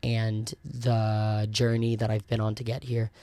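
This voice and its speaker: In a very clean recording with a silent background, a man with an American accent talks fairly slowly at a medium pitch, his dark, mellow tone delivered in a monotone, flat intonation. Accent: sounds American. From South Wales, Merthyr Tydfil. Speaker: podcast host and cruise ship performer. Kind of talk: casual solo podcast chat. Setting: home recording with camera and microphone. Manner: casual with many ums. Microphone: new actual microphone.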